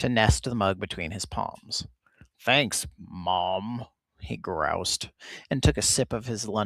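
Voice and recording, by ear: A quiet background for reading aloud in a natural voice, the pitch varying in an ordinary way.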